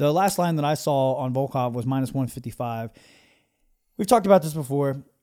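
Dark, mellow tone at a fairly quick pace with ordinary pitch variation, in a very clean recording with a silent background. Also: man, fairly high pitch for a man. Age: 30s. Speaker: MMA coach and betting podcast host. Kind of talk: casual chat. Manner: hesitant, many fillers.

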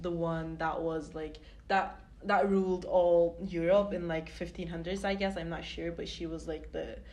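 Audible room echo surrounds a woman talking at a fairly quick pace. Her fairly low voice stays monotone and flat. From Turkey. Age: 20s. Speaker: student podcast co-host. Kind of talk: casual chat.

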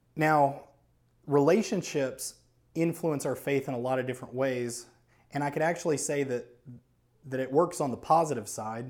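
There is audible room echo as a man talks with long, frequent pauses. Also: fairly high pitch for a man, ordinary pitch variation, moderate pace. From New Orleans, Louisiana. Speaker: lay preacher. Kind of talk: sermon.

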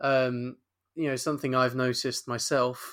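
Speaking at a fairly slow pace, a man with a medium pitch and a fairly bright tone shows little pitch movement.

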